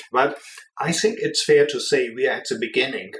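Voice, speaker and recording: Moderate-paced speech in a strong German accent, with noticeable background noise. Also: man. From Germany. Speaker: business executive. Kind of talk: podcast interview.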